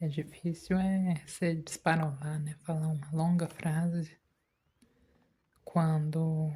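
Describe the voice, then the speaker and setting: Long pauses turn up often. The delivery is very slow. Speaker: gaming youtuber. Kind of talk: relaxed gameplay commentary for sleep.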